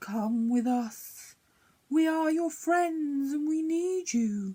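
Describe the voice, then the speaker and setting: A woman's whispering, put-on character voice at a very slow pace. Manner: coaxing, hypnotic.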